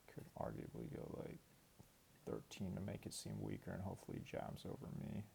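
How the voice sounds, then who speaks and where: With a very deep, low pitch, a man talks at a fairly quick pace, his pitch swinging very widely. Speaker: online poker player. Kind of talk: gameplay commentary. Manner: casual, with filler words.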